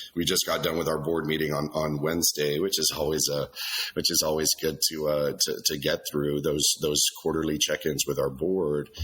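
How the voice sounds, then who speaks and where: Noticeable background noise surrounds a man with a very deep, low voice. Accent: American. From South Texas, Laredo. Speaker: company executive. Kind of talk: interview. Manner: hesitant, many repetitions.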